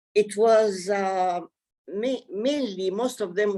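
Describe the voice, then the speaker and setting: A woman's medium-pitched voice, dark and mellow in tone, at a very slow pace. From Nazareth, Palestine/Israel. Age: 80s+. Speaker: community elder speaking on local history. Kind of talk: webinar talk, personal testimony. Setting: video call webinar. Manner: halting, many fillers.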